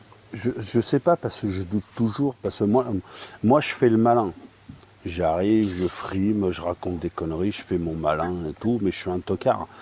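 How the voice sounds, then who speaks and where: A man's fairly low voice at a moderate pace, dry and close with no echo, amid noticeable background noise. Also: ordinary pitch variation. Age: 50s. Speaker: live stream participant. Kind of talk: casual chat.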